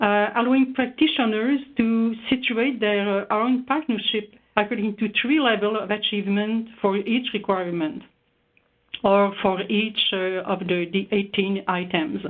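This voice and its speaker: Speaking at a fairly slow pace in a Quebec accent, a woman uses a fairly high voice with ordinary pitch variation. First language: French. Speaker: researcher. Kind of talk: webinar presentation. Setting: online webinar. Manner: halting, many hesitations.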